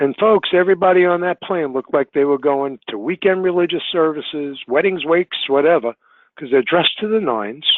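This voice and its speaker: At a fairly quick pace, this is a plain, everyday voice with ordinary pitch variation. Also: man, fairly high pitch for a man. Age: 60s. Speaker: travel industry consultant. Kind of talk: webinar presentation. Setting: online webinar.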